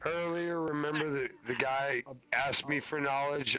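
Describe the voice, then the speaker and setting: Monotone, flat speech from a man at a fairly slow pace, with noticeable background noise. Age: 40s. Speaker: VR chat user. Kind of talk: casual chat. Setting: online VR chat.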